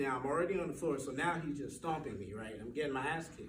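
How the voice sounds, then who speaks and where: Fairly high male speech amid noticeable background noise and audible echo from the room. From Jamaica, moved to US around age ten. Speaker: nurse and stand-up comedian. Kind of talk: stand-up. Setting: stage with audience at workplace.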